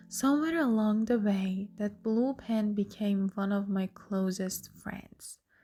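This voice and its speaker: Music plays behind a woman with a non-native accent who speaks at a medium pitch and a very slow pace, with hardly any pauses. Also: ordinary pitch variation. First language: not English. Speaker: student vlogger. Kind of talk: personal story vlog.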